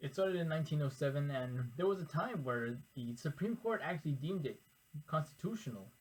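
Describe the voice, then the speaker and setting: Here a man talks at a fairly quick pace. His voice is somewhat breathy. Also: fairly high pitch for a man. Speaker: educational YouTuber. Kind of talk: informal lecture to camera. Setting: recording alone in front of a camera. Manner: halting, self-correcting.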